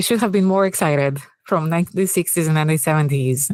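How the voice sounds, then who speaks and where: Recorded very cleanly against a silent background, a woman with a Greek accent sounds dry and close with no echo. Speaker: AI product manager and author. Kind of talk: fireside chat interview. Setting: stage with audience.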